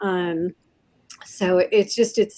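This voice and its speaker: With an American accent, a woman talks at a fairly slow pace and medium pitch in an unremarkable speaking voice, her intonation fairly even. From US Pacific Northwest, Puyallup, Washington. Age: 60s. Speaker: pilot and restaurant chef. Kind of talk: interview.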